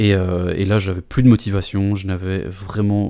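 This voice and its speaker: Over a silent background on a very clean recording, a man speaks in a dark, mellow tone at a fairly low pitch with monotone, flat intonation. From Belgium, Brussels. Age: 20s. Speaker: communication student. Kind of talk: interview. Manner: halting, many hesitations.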